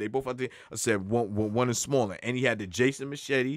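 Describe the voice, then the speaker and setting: Against a quiet background, a man with a New York accent speaks at medium pitch in a dry sound with no echo. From New York (Long Island). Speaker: rapper; podcast guest. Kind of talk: casual interview. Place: studio. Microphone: studio mic.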